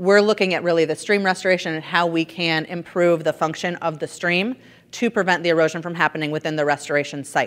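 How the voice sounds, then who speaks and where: Very fast and fairly even in intonation, a woman speaks with a fairly low pitch. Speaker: environmental consultant. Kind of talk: conference presentation.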